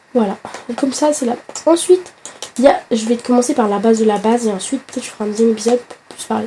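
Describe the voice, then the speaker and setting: A woman with a fairly high pitch talks fairly quickly, and noticeable background noise can be heard behind her. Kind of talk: casual gaming tutorial talk. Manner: chatty, friendly.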